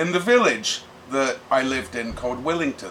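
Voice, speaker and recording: A man with an English accent and a fairly high pitch speaks at a moderate pace with lively intonation, over noticeable background noise. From England, Bedford area. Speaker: punk vocalist and drummer. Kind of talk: casual interview monologue.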